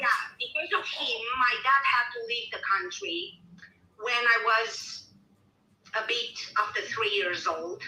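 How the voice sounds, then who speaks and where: With a Romanian accent, a woman talks at a fairly slow pace in a fairly high pitch, her intonation lively, her long pauses frequent, and audible room echo around her. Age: 40s. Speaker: caller. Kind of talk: personal testimony.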